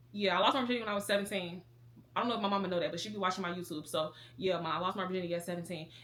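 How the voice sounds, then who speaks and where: A woman talks at a very fast pace, her medium pitch rising and falling in an ordinary way. Noticeable background noise runs underneath. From Chicago, south side. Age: 20s. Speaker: lifestyle vlogger. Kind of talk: casual chat.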